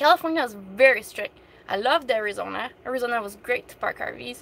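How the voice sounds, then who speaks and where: Against noticeable background noise, a speaker with a French Canadian accent talks at a fairly quick pace in an animated tone with ordinary pitch variation. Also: woman. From Quebec. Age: 30s. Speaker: van-dwelling vlogger. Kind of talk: live stream Q&A chat. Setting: in her van.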